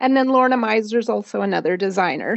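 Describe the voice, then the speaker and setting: In a normal speaking voice, a woman with an American accent talks at a fairly high pitch with ordinary pitch variation. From Oklahoma. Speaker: knitwear designer. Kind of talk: casual interview chat.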